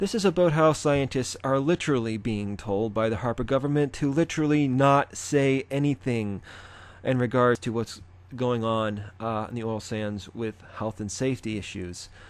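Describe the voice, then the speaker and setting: A man speaks at medium pitch and a moderate pace, with ordinary pitch variation. The recording is very clean, with a silent background. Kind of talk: casual commentary to camera. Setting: close to the microphone.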